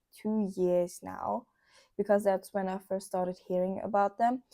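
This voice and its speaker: A woman with a German accent speaks at a moderate pace in a medium-pitched voice with a dark, mellow tone. The recording is very clean, with a silent background. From Germany. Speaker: vlogger. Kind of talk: casual vlog monologue. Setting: indoors by candlelight. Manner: animated.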